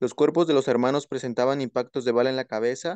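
A normal speaking voice from a man, medium in pitch, fairly quick and fairly even in intonation, in a dry, close sound with no echo over a quiet background. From Mexico, Oaxaca. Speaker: law student. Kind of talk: reading aloud. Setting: video call.

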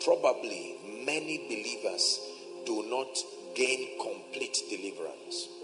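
A man's fairly slow speech over clear music in the background. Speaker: preacher. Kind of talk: sermon. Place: church.

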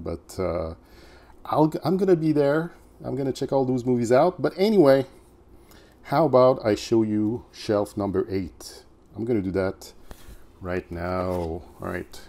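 A man speaks in a dark, mellow tone with very wide pitch swings. His pace is fairly slow, broken by long, frequent pauses. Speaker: movie collector vlogger. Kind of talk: casual vlog chat. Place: home room. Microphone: phone near.

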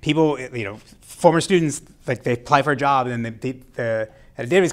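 This man speaks with ordinary pitch variation. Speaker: university lecturer. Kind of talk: lecture. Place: classroom.

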